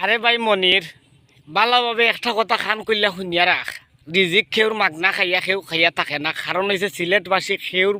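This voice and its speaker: In a raised, projected voice, a man speaks with a high pitch and a bright, sharp tone. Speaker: YouTuber. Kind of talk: roast video. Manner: animated.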